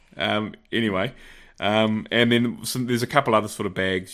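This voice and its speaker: A man speaks with a New Zealand accent. His pitch varies in an ordinary way. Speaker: podcast co-host, shooting competitor. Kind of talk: casual chat.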